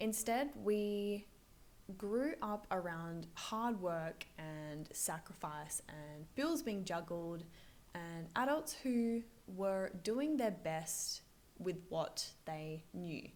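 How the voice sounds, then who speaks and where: A woman's quiet, medium-pitched voice, very slow in pace and lively in intonation. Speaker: finance coach and video creator. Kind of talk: vlog-style talk to camera. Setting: busy office. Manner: quiet, voice kept down.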